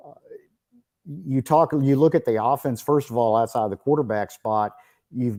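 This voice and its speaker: In a very clean recording with a silent background, a man with an East Texas accent speaks in a dark, mellow tone. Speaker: sports reporter. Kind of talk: interview.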